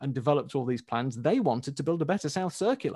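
With a Yorkshire accent, a man talks at a very fast pace in a dark, mellow tone with ordinary pitch variation. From Leeds, northern England. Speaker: road website author. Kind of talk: casual chat.

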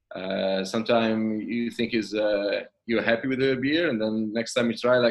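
A medium-pitched man with an Italian accent at a moderate pace. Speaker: craft brewer. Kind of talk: casual chat. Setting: video call.

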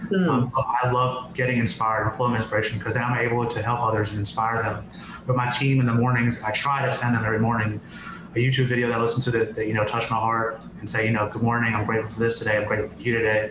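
A man speaks at a very fast pace in a medium pitch, his intonation monotone and flat. Noticeable background noise runs underneath. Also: very even loudness. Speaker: podcast guest; business owner. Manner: fast talker.

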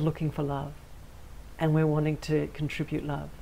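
This woman's voice sits very deep and low, with a dark, mellow tone. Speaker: spiritual intuitive and channeler hosting her own show. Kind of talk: channeled spiritual talk. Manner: simple, unhurried.

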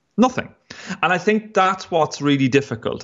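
Speaking in an Irish Midlands accent, a man keeps a moderate pace. His pitch swings very widely. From Ireland, County Longford. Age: 30s. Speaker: investigative journalist. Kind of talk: interview.

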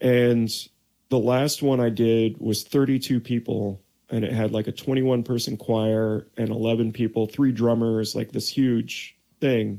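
In a dark, mellow tone at a medium pitch, a man speaks very slowly with flat, monotone intonation. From Oregon, US. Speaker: trumpet player and composer. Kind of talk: casual interview chat. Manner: calm.

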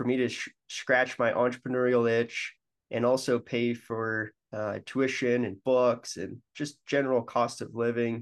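A man with an American accent speaks at a fairly slow pace in an unremarkable speaking voice, medium in pitch, against a quiet background. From Colorado, Denver. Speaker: franchise founder. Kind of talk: interview.

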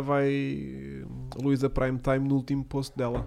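A man with a fairly high pitch, speaking at a very slow pace. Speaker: podcast host. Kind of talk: casual chat.

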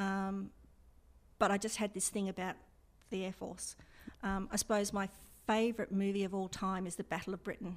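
In an Australian accent, a woman speaks with monotone, flat intonation and long, frequent pauses. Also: medium pitch for a woman, moderate pace. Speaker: air force veteran. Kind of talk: interview.

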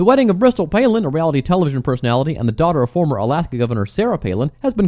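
A dark, mellow voice with an American accent, very fast delivery and very wide pitch swings. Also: man. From US Midwest (Cleveland, Ohio). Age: 40s. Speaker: podcast host. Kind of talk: casual chat; news reading. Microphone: distorted sound.

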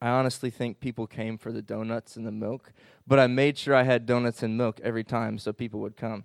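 Speaking very fast in an American accent, a man keeps a medium pitch and monotone, flat intonation in a very clean recording with a silent background. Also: dry, close sound with no echo. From Illinois (southern, St. Louis area). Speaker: Bible college student. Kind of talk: testimony.

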